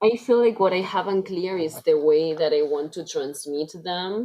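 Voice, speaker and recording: A woman's fairly low voice with ordinary pitch variation at a fairly slow pace. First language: Spanish. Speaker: coaching client. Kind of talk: coaching conversation. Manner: halting.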